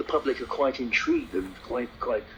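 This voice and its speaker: Moderate pace over music in the background. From London, England. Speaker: taxi trade campaigner. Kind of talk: heated complaint phone call. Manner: confrontational.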